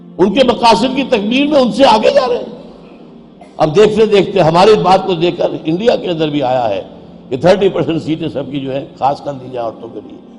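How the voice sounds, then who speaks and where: High male voice with very wide pitch swings and big swings in loudness, against noticeable background noise. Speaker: Islamic religious scholar. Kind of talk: religious sermon.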